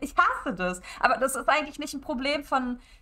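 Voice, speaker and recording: A woman's raised, projected voice has a bright, sharp tone and a fairly quick pace. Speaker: streamer. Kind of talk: casual streaming talk. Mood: opinionated, mildly annoyed. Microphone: headset.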